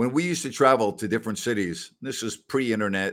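Speaking with a New York accent, a man keeps a fairly quick pace and a medium pitch with ordinary pitch variation. The recording is very clean, with a silent background. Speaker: sports podcast host. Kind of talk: casual sports talk.

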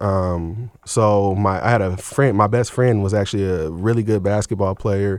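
This man has a normal speaking voice with a fairly low pitch. He moves at a moderate pace with ordinary pitch variation. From Seattle, Washington, US Pacific Northwest. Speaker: author and public speaker on prison re-entry. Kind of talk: radio interview.

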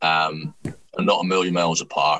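A man with a Scottish accent speaks in a very deep, low voice. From Scotland. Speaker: rugby commentator and writer. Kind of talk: casual chat.

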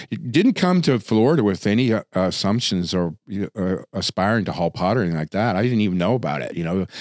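Very fast, lively speech from a man with a fairly low pitch and an American accent, hardly any pauses, and a dry, close sound with no echo. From Wisconsin. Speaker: former drug smuggler, author. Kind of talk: casual interview.

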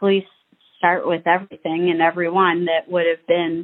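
Fairly low in pitch, a woman with an American accent speaks at a fairly slow pace. Her intonation is monotone and flat. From Ohio. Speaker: friend of a murder victim. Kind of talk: testimony.

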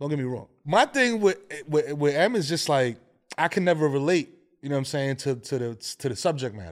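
A man with a New York accent speaks at a fairly high pitch in a very clean recording with a silent background. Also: lively intonation, fairly quick pace. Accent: New York (Bronx). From New York, Bronx. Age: 40s. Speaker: podcast co-host. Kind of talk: casual chat. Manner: animated.

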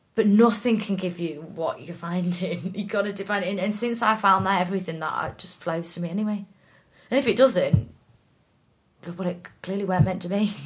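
A somewhat breathy woman's voice at a medium pitch, with ordinary pitch variation, a fairly quick pace and big swings in loudness. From Norwich and York, England. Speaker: actor. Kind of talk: casual chat. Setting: outdoors.

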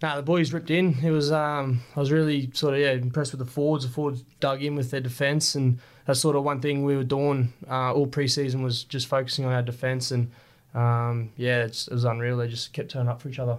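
A man speaks in an Australian accent at a medium pitch. His delivery is fairly quick, with monotone, flat intonation. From Australia, Rockhampton, Queensland. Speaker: professional rugby league player. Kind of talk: casual interview.

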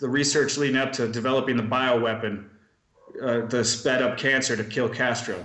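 Audible room echo surrounds a man speaking with monotone, flat intonation and very even loudness. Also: medium pitch for a man, moderate pace. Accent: American. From US Midwest, Milwaukee, Wisconsin. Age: 30s. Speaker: private investigator. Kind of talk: casual interview.

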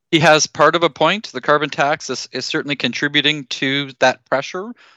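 Here a man with a Canadian accent talks at a fairly quick pace, his fairly high pitch showing ordinary pitch variation. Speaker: agri-food policy expert. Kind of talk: radio interview. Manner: halting, repeats words.

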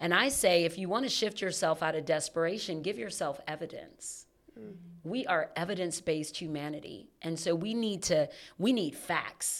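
This woman speaks at a moderate pace in a fairly low voice with ordinary pitch variation, on a very clean recording with a silent background. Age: 40s. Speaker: money coach for entrepreneurs. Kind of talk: casual interview chat. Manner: melodic.

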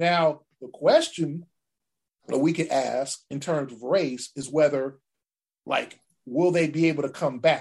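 A man speaks in an animated tone at a fairly slow pace, with long, frequent pauses. His loudness swings widely. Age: 50s. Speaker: sports journalist. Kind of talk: casual chat.

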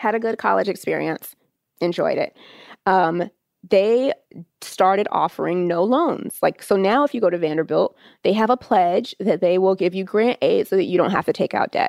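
This woman has a plain, everyday voice at a medium pitch. She speaks at a moderate pace with ordinary pitch variation. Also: dry, close sound with no echo. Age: 30s. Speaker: state education official. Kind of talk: interview.

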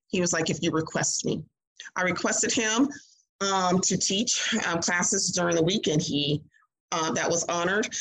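In an American accent, a woman with fairly low pitch speaks at a moderate pace, with ordinary pitch variation and very even loudness. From Mississippi. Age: 60s. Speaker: fitness studio owner and instructor. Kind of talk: interview. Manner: many fillers.

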